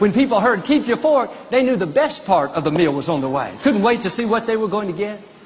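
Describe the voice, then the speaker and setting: Noticeable background noise sits behind a man's voice. He speaks high in pitch with lively intonation. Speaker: preacher giving a sermon. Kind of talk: sermon preached to a congregation. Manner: upbeat, enthusiastic, motivational.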